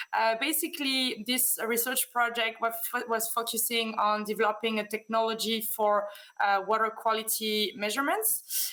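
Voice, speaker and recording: Spoken with a French accent, the voice has a bright, sharp tone, fairly even intonation and a moderate pace. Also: woman. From France. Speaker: business development manager, conference speaker. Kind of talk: conference presentation. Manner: hesitant, many fillers.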